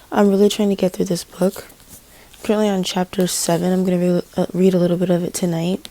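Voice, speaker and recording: Noticeable background noise sits behind a woman speaking at a moderate pace with a medium pitch. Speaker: book vlogger. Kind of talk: casual vlog talk.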